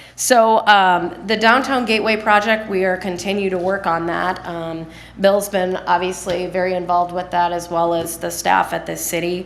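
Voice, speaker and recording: A woman of medium pitch speaks with fairly even intonation and hardly any pauses, amid noticeable background noise and audible room echo. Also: moderate pace. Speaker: economic development presenter. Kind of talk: public meeting presentation. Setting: city council meeting.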